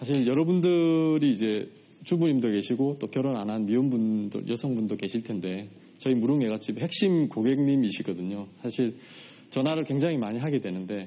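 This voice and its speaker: A man's dark, mellow, medium-pitched voice with lively intonation at a moderate pace, over a quiet background. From South Korea, Changwon, South Gyeongsang. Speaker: writer and podcaster, farm produce seller. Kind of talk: talk to studio audience. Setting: studio with audience. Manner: many filler words.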